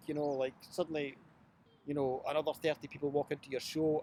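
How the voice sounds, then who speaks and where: A man with a Glasgow accent talks at a very fast pace in a fairly high voice. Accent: Scottish (Glasgow). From Glasgow, Scotland. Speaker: storyteller and writer. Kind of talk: interview answer.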